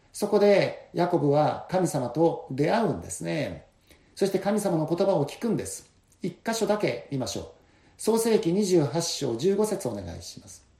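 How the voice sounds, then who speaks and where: At a moderate pace, this voice has a dark, mellow tone and big swings in loudness. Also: man. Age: 60s. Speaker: pastor. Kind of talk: sermon. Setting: church.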